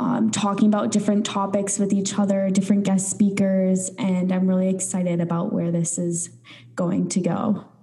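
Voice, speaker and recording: Over noticeable background noise and audible room echo, a woman speaks at a medium pitch with fairly even intonation. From North Dakota. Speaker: podcast co-host. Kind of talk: casual chat.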